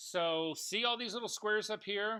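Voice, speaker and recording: A man with an American accent speaks at a moderate pace in a raised, projected voice with a bright, sharp tone and ordinary pitch variation. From US South, Kentucky. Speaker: photography instructor. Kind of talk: lecture. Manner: halting, many fillers.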